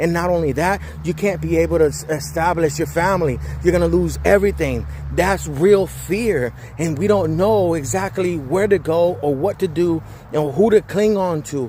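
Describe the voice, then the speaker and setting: A man keeps a moderate pace while noticeable background noise carries on around him. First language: Spanish. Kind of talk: motivational talk. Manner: casual, with hesitations.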